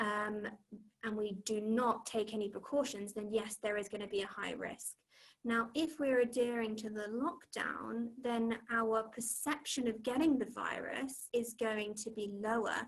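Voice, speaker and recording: A woman speaks at a fairly slow pace in a fairly high pitch. Her voice is somewhat breathy, with fairly even intonation. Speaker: cognitive behavioural therapist. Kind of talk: online talk with slides. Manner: hesitant, many fillers.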